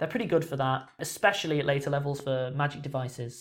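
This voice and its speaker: In a normal speaking voice, a man talks at a fairly quick pace with a fairly high pitch and fairly even intonation. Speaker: podcast host. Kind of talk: casual chat.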